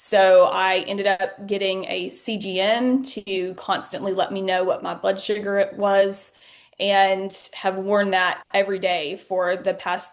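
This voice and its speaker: This woman speaks at a medium pitch with a Southern US accent. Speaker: patient sharing her story. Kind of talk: interview testimony.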